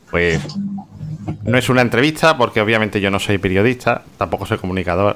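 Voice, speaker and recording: A man talks at a fairly quick pace with lively intonation. He has a normal speaking voice. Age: 30s. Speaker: podcast host, web developer. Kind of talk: casual chat; scripted narration.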